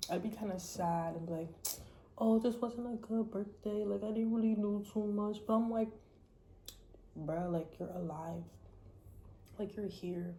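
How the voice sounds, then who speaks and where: Somewhat breathy with a dark, mellow tone, a woman of medium pitch talks at a moderate pace with fairly even intonation and long, frequent pauses, amid audible room echo. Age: 20s. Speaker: vlogger. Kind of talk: casual monologue vlog. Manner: casual, rambling with fillers.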